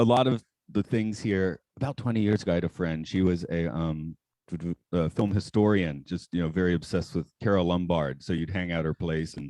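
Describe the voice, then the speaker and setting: A man speaks with a very deep, low pitch and a dark, mellow tone. His pace is fairly quick, his pitch varies in an ordinary way, and the sound is dry and close with no echo. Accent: American. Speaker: podcast guest. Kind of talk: casual chat.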